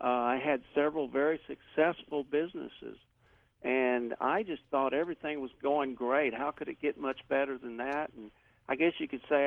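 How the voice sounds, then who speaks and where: Speaking with a slight Texan accent, a man uses a fairly high pitch and fairly even intonation. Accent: slight Texan drawl. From Texas. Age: 60s. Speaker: author and cancer survivor. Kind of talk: radio interview, personal story.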